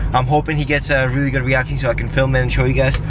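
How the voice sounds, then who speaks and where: A man speaks at a fairly quick pace, the sound dry with no echo and noticeable background noise around him. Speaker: vlogger. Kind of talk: casual vlog chat. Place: car. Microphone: phone near.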